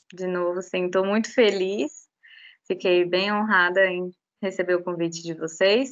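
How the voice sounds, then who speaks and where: A woman with a plain, everyday voice talks at a fairly slow pace, her medium pitch held in fairly even intonation. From Brazil, Goiás, Rio Grande do Norte and Belo Horizonte. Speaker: animal science graduate, regulatory analyst. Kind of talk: casual interview.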